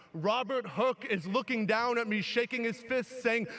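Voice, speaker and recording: With a New York accent, a man speaks at a fairly slow pace. His pitch varies in an ordinary way. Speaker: teacher and graduation speaker. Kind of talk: commencement speech. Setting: graduation ceremony with audience. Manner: animated.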